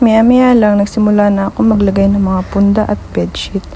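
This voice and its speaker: Speech at a fairly quick pace stays monotone and flat, with noticeable background noise behind it. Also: woman. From Philippines. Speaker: vlogger, domestic worker and babysitter. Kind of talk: vlog narration. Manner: shy.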